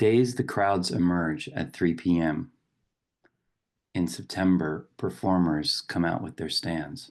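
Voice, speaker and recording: Over a quiet background, a man with a very deep, low pitch talks at a very slow pace with lively intonation. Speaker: poet and professor; meditation guide. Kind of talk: poetry reading.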